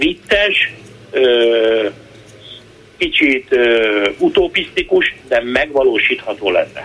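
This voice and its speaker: This man speaks at a very slow pace, leaving long, frequent pauses. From Hungary. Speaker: chef. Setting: phone call. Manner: animated.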